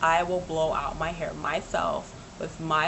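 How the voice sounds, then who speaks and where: Noticeable background noise accompanies a woman whose voice sits at a fairly low pitch. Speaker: vlogger. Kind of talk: casual vlog chat. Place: home room. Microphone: webcam.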